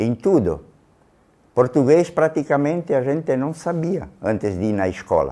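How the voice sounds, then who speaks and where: A man's fairly high, dark, mellow voice at a fairly slow pace, with lively intonation. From Rodeio, Santa Catarina, southern Brazil. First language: Trentino Italian dialect (speaking Portuguese). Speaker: interviewee. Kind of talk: documentary interview.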